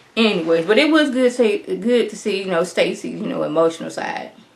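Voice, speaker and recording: A woman talks at a fairly quick pace in a fairly high pitch, with noticeable background noise behind her. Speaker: YouTuber reviewing reality TV. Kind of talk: TV show review monologue. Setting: home recording with green screen. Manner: animated.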